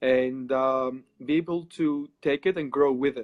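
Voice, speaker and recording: A man speaks with a Greek accent at a medium pitch. His intonation is fairly even. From Greece. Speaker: occult practitioner. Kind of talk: casual interview.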